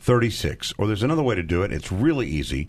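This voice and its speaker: Vocal fry from a man, his pitch swinging very widely. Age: 50s. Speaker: charity fundraiser. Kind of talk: radio fundraising appeal.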